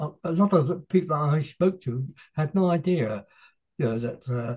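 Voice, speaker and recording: The speaker has an English accent and a somewhat breathy voice. The pace is fairly slow, with lively intonation. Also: man. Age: 80s+. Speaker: author. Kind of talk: interview.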